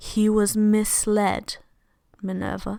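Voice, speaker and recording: A woman at medium pitch drawls in a put-on character voice. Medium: read story. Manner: calm, drawling.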